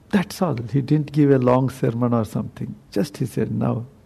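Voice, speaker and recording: Dark, mellow tone from a man at medium pitch, with vocal fry, ordinary pitch variation and a moderate pace. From South India. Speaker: Buddhist monk. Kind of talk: dharma talk. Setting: meditation center talk with audience.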